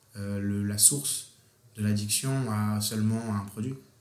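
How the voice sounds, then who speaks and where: A man's voice carries audible room echo, with noticeable background noise behind it. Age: 20s. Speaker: university student. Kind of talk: casual conversation.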